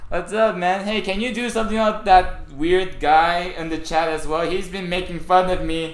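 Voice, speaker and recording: A high-pitched man talks at a moderate pace with fairly even intonation and hardly any pauses. Noticeable background noise and audible room echo fill the recording. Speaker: streamer. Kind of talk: casual live stream chat. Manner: stuttering, halting.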